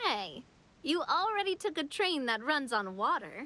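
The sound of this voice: A woman's put-on character voice, high-pitched with a bright, sharp tone, big pitch swings and a fairly slow pace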